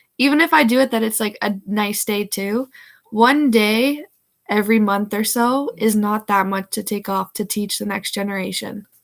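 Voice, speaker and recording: A woman with a Canadian accent has a plain, everyday voice, fairly high pitch and ordinary pitch variation at a moderate pace. The recording is very clean, with a silent background. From Canada, Hamilton, Ontario. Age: 20s. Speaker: house framer and builder. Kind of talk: casual chat.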